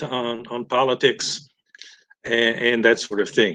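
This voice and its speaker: The voice has a bright, sharp tone over a quiet background. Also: man. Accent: American. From Texas. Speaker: chemist giving a guest talk. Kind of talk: lecture. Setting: webinar video call. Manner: halting, many fillers and restarts.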